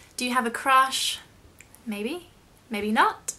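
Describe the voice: Slowly, a woman speaks with a high pitch and a bright, sharp tone.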